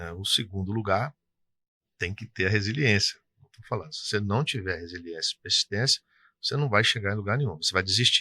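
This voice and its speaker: In an interior Rio de Janeiro accent, a man with a fairly low pitch and a bright, sharp tone talks at a fairly quick pace with big swings in loudness, the sound dry and close with no echo over a quiet background. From interior of Rio de Janeiro state, Brazil. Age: 60s. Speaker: tax consultancy business owner. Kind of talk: interview. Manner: casual, conversational.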